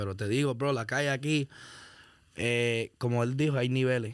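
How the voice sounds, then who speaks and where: On a very clean recording against a silent background, an unremarkable speaking voice keeps fairly even intonation at a moderate speed. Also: man. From Miami (Hialeah, Broward). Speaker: rapper. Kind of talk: casual chat.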